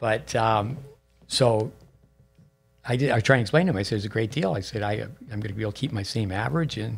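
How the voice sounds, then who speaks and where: With faint music behind him, a man talks at a very fast pace with lively intonation and long, frequent pauses. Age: 60s. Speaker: tennis coach and podcast host; tennis coach, podcast host. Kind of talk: casual interview. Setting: studio at a tennis center. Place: studio. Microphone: studio mic.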